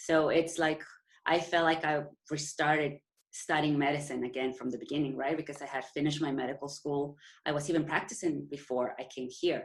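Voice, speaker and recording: A woman with a Mexican accent speaks at a very deep, low pitch. Her pace is fairly quick and her intonation fairly even. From Mexico. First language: Spanish. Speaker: endocrinologist. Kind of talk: interview. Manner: halting.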